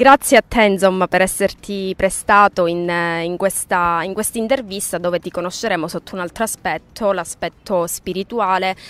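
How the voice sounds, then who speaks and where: A plain, everyday voice from a woman at medium pitch, fairly even intonation and moderate pace, dry with no echo. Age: 20s. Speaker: interviewer. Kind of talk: interview. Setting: outdoors by a lake. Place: waterside. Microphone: handheld.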